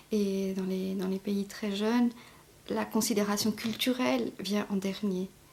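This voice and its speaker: A woman speaks very slowly at a medium pitch, her intonation fairly even. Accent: Mauritian. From Mauritius. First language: Mauritian Creole (speaking French). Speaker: novelist. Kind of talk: interview. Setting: at home in her apartment. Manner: halting, many fillers.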